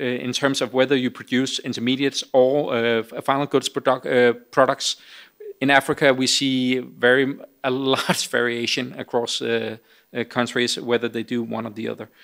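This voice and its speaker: Against a quiet background, the speech comes at a moderate pace with monotone, flat intonation. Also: man. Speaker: speaker. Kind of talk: Q&A answer at a conference. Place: hall. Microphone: podium.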